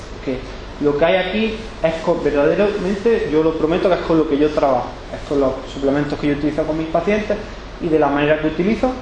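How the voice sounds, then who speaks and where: In a room with audible echo and noticeable background noise, a man with an Andalusian accent talks very fast at a fairly high pitch with ordinary pitch variation. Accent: Andalusian (Granada), noticeable. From Spain, Granada (Andalusia). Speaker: physiotherapist, workshop speaker. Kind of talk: workshop talk. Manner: casual, conversational.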